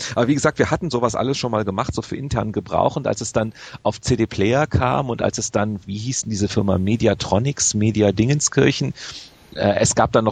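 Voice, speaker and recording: A man talks at a fairly quick pace with lively intonation. His fairly low voice is somewhat breathy. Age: 40s. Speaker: video game magazine editor. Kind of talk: interview.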